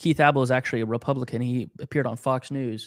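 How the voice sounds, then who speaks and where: On a very clean recording with a silent background and a dry, close sound with no echo, a man talks at medium pitch with monotone, flat intonation. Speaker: political researcher and author. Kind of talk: interview.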